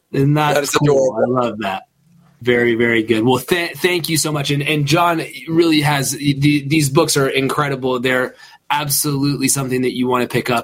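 A man talks at a fairly quick pace in a plain, everyday voice, his pitch fairly high and his intonation fairly even. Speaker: co-host. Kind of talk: casual interview chat.

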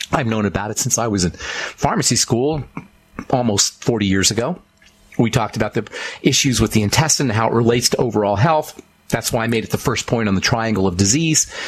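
Speaking with an American accent, a man uses a medium pitch, ordinary pitch variation and an animated tone. His pace is fairly quick. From Boulder, Colorado. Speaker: radio host and pharmacist. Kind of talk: radio show monologue on nutrition. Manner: animated, emphatic.

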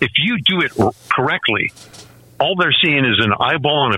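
A man speaks at a moderate pace, his pitch swinging very widely. Noticeable background noise is present. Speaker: gun rights writer and podcaster. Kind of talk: radio interview. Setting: remote call-in.

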